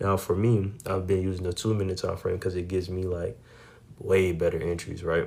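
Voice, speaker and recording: A somewhat breathy man's voice, very deep and low, at a fairly quick pace with monotone, flat intonation. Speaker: day trader sharing trade recaps. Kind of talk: trading recap tutorial. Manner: casual, slangy.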